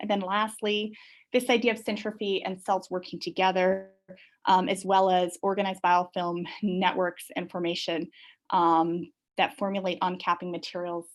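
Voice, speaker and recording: Against a quiet background, a woman speaks at a medium pitch with monotone, flat intonation. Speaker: professor. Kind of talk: lecture. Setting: video call. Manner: fast.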